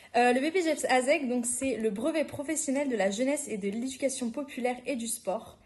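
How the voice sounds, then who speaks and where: Over noticeable background noise, the speaker moves at a fairly quick pace with ordinary pitch variation and hardly any pauses. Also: woman, high pitch for a woman. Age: young. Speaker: youth worker trainee. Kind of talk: podcast interview. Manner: hesitant, many fillers.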